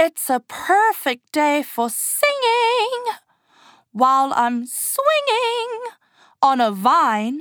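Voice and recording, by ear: Using a put-on character voice, a woman speaks at a very slow pace in a high pitch with a fairly bright tone and big pitch swings.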